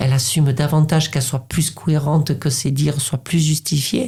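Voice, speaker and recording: A woman talks at a moderate pace with a very deep, low pitch. Her tone is dark and mellow and somewhat breathy. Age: 50s. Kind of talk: interview. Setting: podcast recording. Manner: halting, many repetitions.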